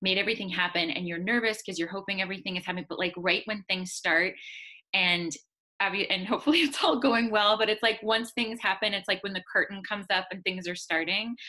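Over a quiet background, a woman talks very fast in a bright, sharp tone with ordinary pitch variation. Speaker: guest. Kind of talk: interview answer. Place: home room. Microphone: video call.

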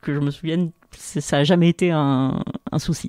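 Recorded very cleanly against a silent background, a woman speaks in a very deep, low voice. Her tone is dark and mellow, and her intonation fairly even. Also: dry, close sound with no echo. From Algeria. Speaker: university lecturer and researcher. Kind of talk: interview. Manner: hesitant with frequent fillers.

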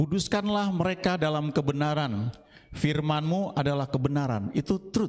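In a normal speaking voice, a man talks at a fairly slow pace with a fairly high pitch. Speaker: Bible teacher. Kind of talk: Bible study lesson. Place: hall. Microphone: handheld.

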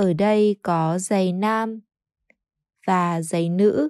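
Recorded very cleanly over a silent background with a dry, close sound and no echo, a woman speaks at a medium pitch with ordinary pitch variation. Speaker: Vietnamese language teacher. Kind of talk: scripted narration. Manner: slow.

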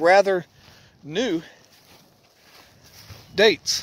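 Dry and free of echo, a man's voice sounds high in pitch. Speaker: paranormal vlogger. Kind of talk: casual vlog narration. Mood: calm, hushed exploration. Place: open country. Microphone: phone near.

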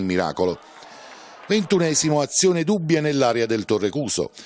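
A man's voice with very wide pitch swings. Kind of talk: sports commentary, recapping match highlights in a voiceover. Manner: brisk, formal and matter-of-fact, reporting play-by-play.

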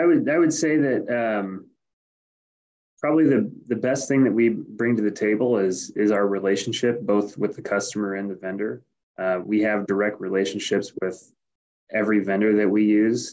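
This man has a plain, everyday voice at a fairly low pitch. He keeps a moderate pace and ordinary pitch variation. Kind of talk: interview answer. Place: office. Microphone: webcam.

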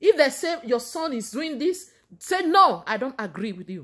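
Against a quiet background, a woman with a Nigerian accent speaks at a fairly slow pace, her high pitch making very wide swings. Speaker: vlogger giving faith advice. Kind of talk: motivational sermon-like talk to camera. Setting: Canada. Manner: warm, preacherly. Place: home room. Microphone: phone near.

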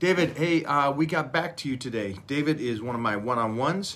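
A man speaks at a moderate pace with ordinary pitch variation, with light background noise behind him. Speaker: fitness coach. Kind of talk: casual live stream chat. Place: home room. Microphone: phone near.

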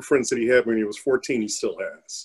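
A man keeps a moderate pace while the background remains quiet. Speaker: parent of lupus patient. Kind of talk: panel discussion. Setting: video call webinar. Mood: calm, reflective. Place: home room. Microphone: webcam.

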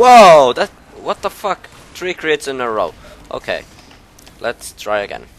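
This man leaves long, frequent pauses, and noticeable background noise fills the gaps. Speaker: gaming YouTuber. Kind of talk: gameplay commentary. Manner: animated.

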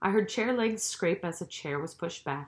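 Someone reading aloud in a natural voice, with lively intonation

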